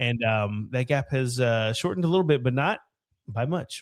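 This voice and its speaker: An animated man at medium pitch, moderate in pace, with ordinary pitch variation. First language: not English. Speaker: football podcast co-host. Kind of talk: casual chat.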